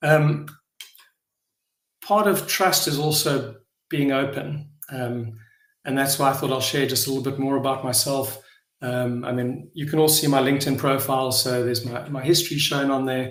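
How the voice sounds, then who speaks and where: There is audible room echo around a man with a South African accent. He speaks at a moderate pace, with a fairly high pitch and fairly even intonation. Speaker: blockchain project founder. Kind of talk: live online AMA session. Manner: halting, many fillers and repetitions.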